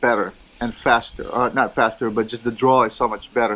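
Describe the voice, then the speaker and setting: A man with a Filipino accent, relaxed in tone, at a fairly quick pace. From Philippines. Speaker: cigar and lifestyle vlogger. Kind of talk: casual vlog chat. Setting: outdoors in a gazebo. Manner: relaxed, halting with fillers.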